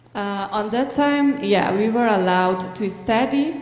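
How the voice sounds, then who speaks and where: Against noticeable background noise and audible room echo, a woman speaks at a fairly high pitch with ordinary pitch variation. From Afghanistan. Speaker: pharmacist and refugee speaker. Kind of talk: church talk with Q&A. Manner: halting, many hesitations.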